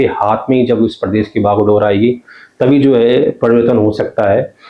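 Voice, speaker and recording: His intonation is fairly even. The man keeps to a moderate pace. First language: Garhwali (speaking Hindi). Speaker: journalist. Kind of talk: interview.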